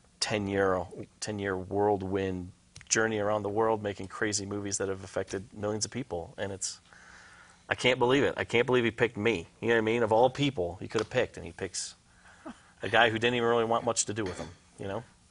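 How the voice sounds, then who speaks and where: Speaking in an ordinary speaking voice at a fairly quick pace, a man keeps a fairly low pitch and fairly even intonation. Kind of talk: interview about faith.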